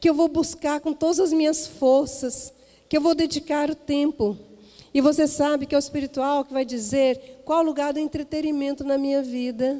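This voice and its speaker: A woman talks at a moderate pace with a high pitch. Her intonation stays fairly even. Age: 60s. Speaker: missionary preacher. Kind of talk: sermon; personal anecdote in sermon.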